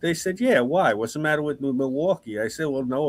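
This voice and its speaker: In a New York accent, a man talks at a fairly quick pace with a fairly high pitch and lively intonation. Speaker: podcast host. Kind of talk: casual chat.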